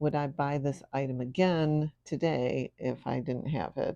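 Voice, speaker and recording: A woman with a very deep, low pitch and a dark, mellow tone speaks with ordinary pitch variation. The sound is dry and close with no echo, over a quiet background. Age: 60s. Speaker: lifestyle vlogger and piano teacher. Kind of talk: casual vlog talk to camera. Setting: at home in living room. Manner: hesitant, with fillers.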